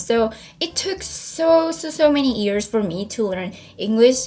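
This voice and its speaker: Over noticeable background noise, a woman speaks with a Korean accent at a fairly high pitch. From South Korea, Seoul. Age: 20s. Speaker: YouTuber. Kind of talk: casual Q&A vlog.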